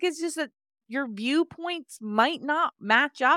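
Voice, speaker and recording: A woman's high-pitched, raised and projected voice, bright and sharp in tone, with lively intonation. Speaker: health coach. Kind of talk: casual interview chat.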